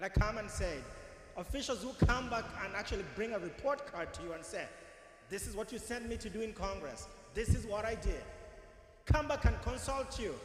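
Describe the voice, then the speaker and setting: A man with a non-native accent speaks at a moderate pace and a high pitch, with ordinary pitch variation and long, frequent pauses. Noticeable background noise is present. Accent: foreign accent, self-noted. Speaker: political candidate. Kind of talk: campaign speech.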